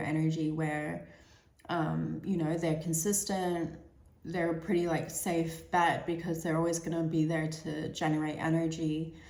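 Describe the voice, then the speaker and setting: Audible room echo surrounds a woman with a fairly low pitch. She speaks at a moderate pace in a monotone, flat intonation. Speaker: tarot reader. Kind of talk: tarot reading monologue. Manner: hesitant, many fillers and repeats.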